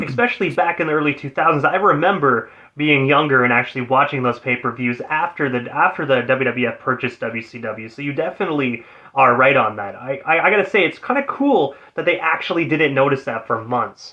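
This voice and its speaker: Speaking at a fairly quick pace with hardly any pauses, a man has a plain, everyday voice, fairly high in pitch with ordinary pitch variation. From Ontario, Canada. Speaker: radio host. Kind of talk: radio show hosting. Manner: upbeat.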